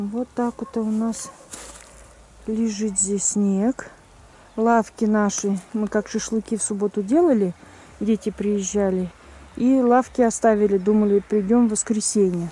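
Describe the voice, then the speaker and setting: A woman at a fairly slow pace with fairly even intonation, long, frequent pauses and a dry sound with no echo. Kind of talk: casual vlog chat. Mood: calm, mildly surprised. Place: garden. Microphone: phone near.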